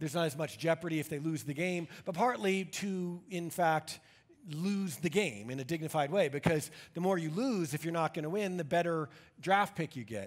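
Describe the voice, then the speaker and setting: Moderate pace and ordinary pitch variation against a quiet background. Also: man. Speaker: pastor. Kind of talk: sermon. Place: church.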